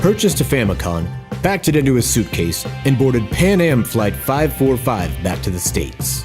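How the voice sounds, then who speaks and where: With music in the background, a man speaks in a serious tone at a moderate pace and medium pitch, his pitch swinging very widely. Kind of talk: mock documentary narration. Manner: over-the-top serious documentary style.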